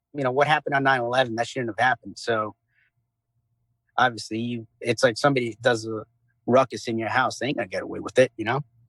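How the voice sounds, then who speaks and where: A man talks at a very fast pace and medium pitch. His intonation is monotone and flat. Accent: New York. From Long Island, New York. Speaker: former Navy SEAL, veteran. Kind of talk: interview answer. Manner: casual, conversational.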